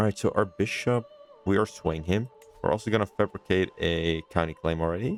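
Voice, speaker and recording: A man with a Dutch accent speaks at a fairly quick pace in a fairly low pitch with ordinary pitch variation and very even loudness, in a dry, close sound with no echo and music in the background. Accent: Dutch, non-native English. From Netherlands. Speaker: gaming YouTuber. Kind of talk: let's play commentary. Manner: hesitant, many fillers.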